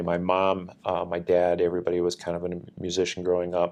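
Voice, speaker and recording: Speaking at a fairly quick pace, a man has a very deep, low pitch and an Upper Midwest US accent. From Minnesota (Northfield). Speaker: military command chief. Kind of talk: interview.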